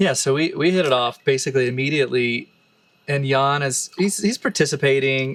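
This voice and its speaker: A man speaks fairly quickly with a Texan accent, at a medium pitch with ordinary variation. The recording is very clean, with a silent background. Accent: Texan American English. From Texas, Austin. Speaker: musician and relationship podcast co-host. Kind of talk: casual chat. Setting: bathtub in a forest retreat.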